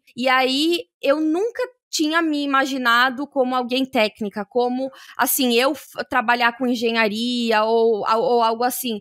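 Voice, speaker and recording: A woman speaks at a fairly slow pace with a high pitch, ordinary pitch variation and a bright, sharp tone. The recording is very clean with a silent background, and the sound is dry and close with no echo. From Brazil, São Paulo. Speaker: tech professional, former lawyer. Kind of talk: interview podcast. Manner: hesitant, many fillers.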